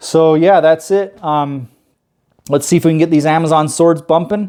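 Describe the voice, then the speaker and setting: A man with a fairly high pitch, fairly even intonation, very even loudness and a moderate pace. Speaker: aquarium hobbyist youtuber. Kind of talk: casual tutorial vlog. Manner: talkative, informal.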